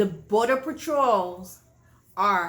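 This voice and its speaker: A woman speaks very slowly with a Haitian accent, her pitch swinging very widely. Audible room echo surrounds her voice. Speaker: online show host. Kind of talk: political commentary monologue. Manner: impassioned.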